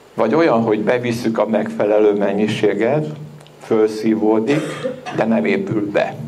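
Speaking at a fairly slow pace, a man keeps fairly even intonation and very even loudness over noticeable background noise. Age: 70s. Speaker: lecturer on algae health products; lecturer. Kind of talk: lecture. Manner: informal, conversational. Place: hall. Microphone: handheld.

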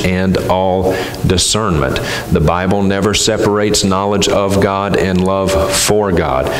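A very slow pace amid light background noise and audible room echo. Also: man. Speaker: conference speaker. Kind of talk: sermon. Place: church. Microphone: headset.

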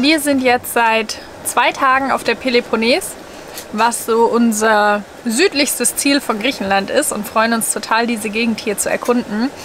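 A woman speaks with a high pitch and fairly even intonation. Light background noise is present. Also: dry sound with no echo. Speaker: vlogger. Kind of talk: casual vlog chat. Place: home room. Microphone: phone near.

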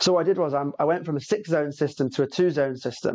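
Rattling along at a very fast pace, a man with a British accent speaks at a fairly high pitch with ordinary pitch variation. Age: 30s. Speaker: podcast host, heating product business owner. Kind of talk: casual interview chat.

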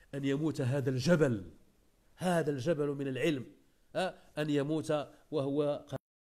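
With a Moroccan accent, a man speaks at a very slow pace in a dark, mellow tone with fairly even intonation. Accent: Moroccan Arabic, code-switching with Darija. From Morocco. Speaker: Islamic preacher. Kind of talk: religious lesson. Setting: live online session. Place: home room. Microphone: earbuds.

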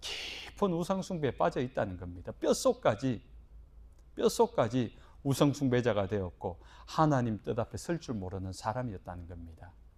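A man at a medium pitch talks at a moderate pace, somewhat breathy. His pitch swings very widely, and his loudness shifts in big swings. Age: 50s. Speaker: pastor. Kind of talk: sermon.

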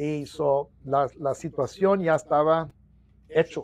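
Here a man speaks at a fairly high pitch, somewhat breathy. The sound is dry, with no echo. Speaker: union president; interviewee. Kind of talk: interview. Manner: halting, repetitive. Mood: earnest, reflective. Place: office. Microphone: lapel.

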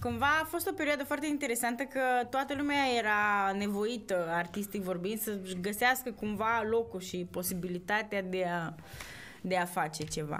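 A woman with lively intonation at a moderate pace. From Romania, Cluj; Romania. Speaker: podcast host, actor. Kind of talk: casual interview chat. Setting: studio. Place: studio. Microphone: studio mic.

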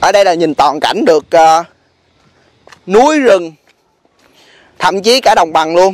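Speaking with long, frequent pauses, a man uses a high pitch and lively intonation at very even loudness, in a dry sound with no echo. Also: moderate pace. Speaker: travel vlogger. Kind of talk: casual vlog narration and interview. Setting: outdoors on location. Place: open country. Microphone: phone near.

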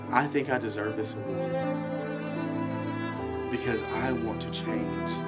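A man's fairly slow speech over loud background music. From Alabama. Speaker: youth theater director. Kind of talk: award application appeal to camera. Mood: earnest, heartfelt. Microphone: webcam.

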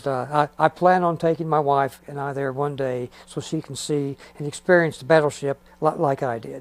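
In a plain, everyday voice, a man with a fairly high pitch speaks at a moderate pace with fairly even intonation and big swings in loudness, the sound dry with no echo. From Missouri, USA. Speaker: Navy veteran. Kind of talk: interview answer. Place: home room.

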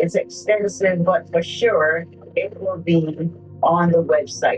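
Faint music sits in the background. A woman speaks very slowly in a fairly low pitch. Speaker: minister hosting a program. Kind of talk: sermon-style address to viewers.

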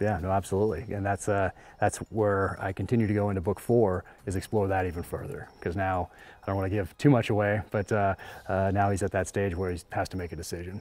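A man speaks at a very fast pace with fairly even intonation. The sound is dry, with no echo. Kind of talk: interview answer. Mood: reflective, earnest. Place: home room. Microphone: lapel.

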